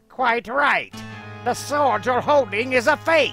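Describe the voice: Faint music plays behind a put-on character voice delivered slowly in a bright, sharp tone with vocal fry and ordinary pitch variation. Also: man, extremely high pitch for a man.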